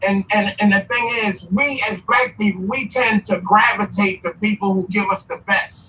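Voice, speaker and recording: A man's raised, projected, high-pitched voice at a moderate pace with hardly any pauses and fairly even intonation. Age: 60s. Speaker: caller on a live stream. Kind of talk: casual chat.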